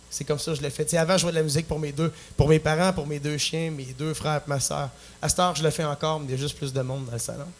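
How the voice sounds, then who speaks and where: Speaking very fast in a Quebec accent, a man with a fairly high pitch sounds somewhat breathy and keeps a monotone, flat intonation, in a very clean recording with a silent background. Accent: Québécois French. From Quebec, Plessisville. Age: 20s. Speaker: singer-songwriter. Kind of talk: talk show interview. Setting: stage with audience. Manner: halting.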